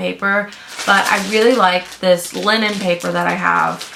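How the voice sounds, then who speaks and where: Noticeable background noise is present. Through it, a woman talks at a fairly slow pace. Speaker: small business owner, vlogger. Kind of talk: casual vlog narration. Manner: casual, filler-heavy.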